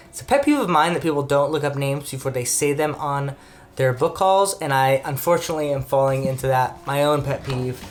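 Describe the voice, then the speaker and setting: A man with a fairly high-pitched voice talks at a fairly quick pace and with fairly even intonation over music in the background. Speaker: book youtuber. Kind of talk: casual book haul talk. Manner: fast.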